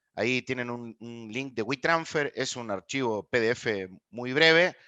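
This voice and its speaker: A bright, sharp tone with ordinary pitch variation at a fairly slow pace, dry and close with no echo over a quiet background. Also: man, medium pitch for a man. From Argentina. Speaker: people analytics expert, lecturer. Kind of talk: online master class.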